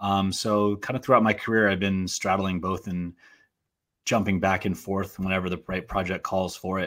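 A man with an American accent and a fairly low pitch, an ordinary speaking voice, fairly even intonation, moderate pace, and a very clean recording with a silent background. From Portland, Oregon. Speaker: actor and filmmaker. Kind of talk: casual interview.

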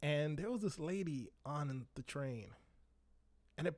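The speaker has an ordinary speaking voice with lively intonation. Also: man. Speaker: podcast host. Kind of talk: angry rant, unscripted solo monologue.

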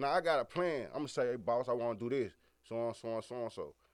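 A man speaking with an American accent at a medium pitch is heard on a very clean recording against a silent background. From Memphis, Tennessee. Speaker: rapper. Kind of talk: casual interview.

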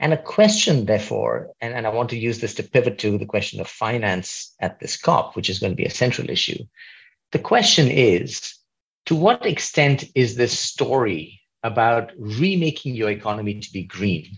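A man talks at a moderate pace in a medium pitch with vocal fry. His intonation is lively, and the background is quiet. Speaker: podcast host. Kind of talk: interview conversation.

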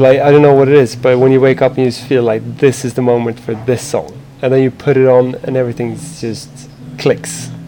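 A man talks at medium pitch and a moderate pace with monotone, flat intonation. There is noticeable background noise. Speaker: interviewee talking about music. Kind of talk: casual chat. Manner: halting, repeats words.

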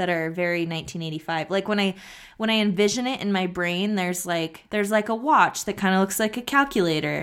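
A woman's medium-pitched, fairly quick delivery in an unremarkable speaking voice, on a very clean recording with a silent background. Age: 30s. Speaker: podcast co-host. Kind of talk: casual chat.

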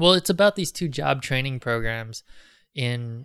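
A plain, everyday voice at a moderate pace, dry and close with no echo, on a very clean recording with a silent background. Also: man. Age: 30s. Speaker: documentary filmmaker. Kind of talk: interview.

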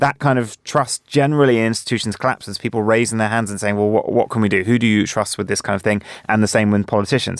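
A man with a fairly low pitch talks at a very fast pace. He barely pauses, and his intonation stays fairly even. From Jersey, Channel Islands. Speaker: news correspondent. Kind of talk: panel discussion.

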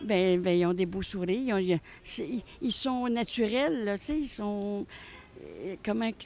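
Speech comes at a very slow pace with ordinary pitch variation and long, frequent pauses. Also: woman, medium pitch for a woman. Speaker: passerby. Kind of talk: interview. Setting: outdoors. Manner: halting.

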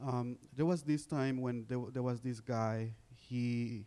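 A man speaks fairly slowly in a dark, mellow tone at a medium pitch. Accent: Honduran. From Honduras. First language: Spanish. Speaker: college student and immigrant storyteller. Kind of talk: panel talk sharing personal story. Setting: stage with audience.

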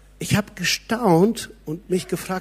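On a very clean recording against a silent background, a man is heard talking. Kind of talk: sermon. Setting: church. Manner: animated; conversational, direct address to audience.

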